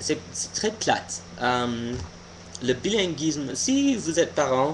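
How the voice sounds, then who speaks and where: Speaking at a very slow pace, a man uses a fairly high pitch with very wide pitch swings. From US, Pennsylvania. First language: English (speaking French). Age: 20s. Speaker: vlogger. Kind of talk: casual opinion vlog monologue. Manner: halting, many hesitations and restarts.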